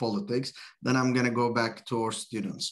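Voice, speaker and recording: A man with a medium pitch is heard over noticeable background noise. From Turkey. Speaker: university event host. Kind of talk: interview.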